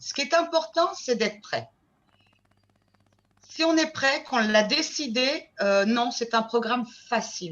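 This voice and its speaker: A woman at a fairly slow pace. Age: 60s. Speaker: weight-loss program client giving testimonial. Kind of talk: testimony.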